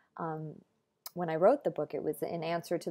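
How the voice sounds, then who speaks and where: A woman with a warm tone speaks at a fairly quick pace in a fairly low pitch. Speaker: professional voice actor and author. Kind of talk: casual talk to camera. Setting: home recording, talking to camera. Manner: warm, conversational, sincere. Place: home room. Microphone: earbuds.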